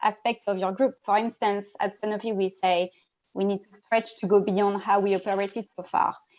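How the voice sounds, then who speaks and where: A woman with a French accent speaks at a medium pitch and a moderate pace. Her intonation is monotone and flat. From France. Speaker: diversity network lead, panelist. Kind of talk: panel discussion. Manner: halting, repetitive.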